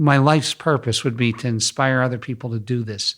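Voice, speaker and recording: On a very clean recording with a silent background, a man talks at a medium pitch with ordinary pitch variation. His is a normal speaking voice. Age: 50s. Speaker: wellness center founder. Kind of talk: interview.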